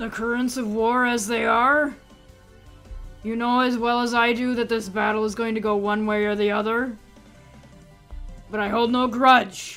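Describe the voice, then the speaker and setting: A woman uses a put-on, gravelly character voice, fairly high in pitch, with a monotone, flat delivery. She keeps a moderate pace with long, frequent pauses while faint music plays in the background. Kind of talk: formal, dramatic. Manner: raised voice, grave, formal, calm.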